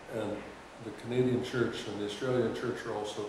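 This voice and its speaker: A man with an American accent talks at a fairly quick pace and medium pitch. The recording has audible room echo and noticeable background noise. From Ohio, US Midwest. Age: 80s+. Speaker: oral history interviewee. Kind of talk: interview. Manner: halting.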